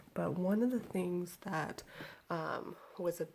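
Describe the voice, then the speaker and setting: A woman's fairly low voice, dark and mellow in tone, somewhat breathy, with ordinary pitch variation. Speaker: vlogger. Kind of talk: casual chat. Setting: at home, baby in crib nearby.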